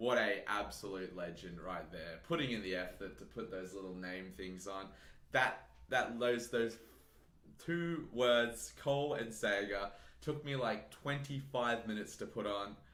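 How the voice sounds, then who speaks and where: Bright and sharp in tone, the voice sounds animated, with lively intonation and a fairly slow pace, and audible room echo. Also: man, fairly low pitch for a man. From Australia. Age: 20s. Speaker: fitness YouTuber. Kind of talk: live stream Q&A. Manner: casual, animated.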